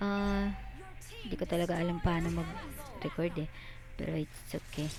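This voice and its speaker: Fairly low in pitch, a woman speaks at a fairly slow pace. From Visayas, Philippines. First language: Cebuano (Bisaya) (speaking Tagalog). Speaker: gamer. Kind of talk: gameplay voiceover commentary. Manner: halting, many fillers; casual.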